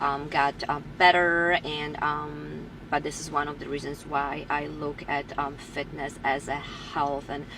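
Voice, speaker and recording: Monotone, flat intonation marks delivery at a fairly slow pace. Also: woman, very deep, low pitch for a woman. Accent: Polish. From Poland. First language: Polish. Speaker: personal trainer. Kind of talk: personal story monologue. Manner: halting, many fillers.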